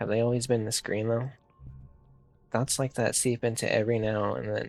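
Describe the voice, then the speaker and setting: A man speaks at a medium pitch. Music can be heard in the background behind him. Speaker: gaming streamer reading a visual novel. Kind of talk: reading aloud. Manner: fast, with frequent stumbles; halting.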